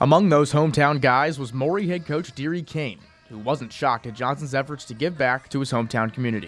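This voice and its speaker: Over music in the background, a man with a fairly high pitch talks at a very fast pace with ordinary pitch variation. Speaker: sports reporter. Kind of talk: news reading.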